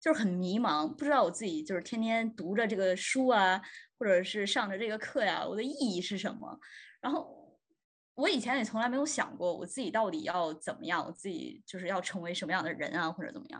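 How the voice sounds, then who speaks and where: With a plain, everyday voice, a woman speaks fairly quickly at a fairly high pitch with lively intonation against a quiet background. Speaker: podcast host, student. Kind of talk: casual chat.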